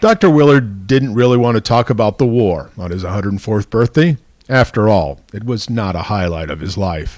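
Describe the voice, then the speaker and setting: A man with a fairly low pitch speaks at a moderate pace with lively intonation, a normal speaking voice. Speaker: TV news reporter. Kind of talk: TV news feature narration.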